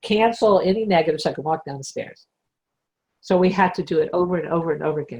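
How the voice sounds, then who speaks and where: A woman with a fairly low pitch speaks at a very fast pace, her voice somewhat breathy and her pitch varying in an ordinary way. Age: 60s. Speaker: spiritual teacher. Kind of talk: casual chat.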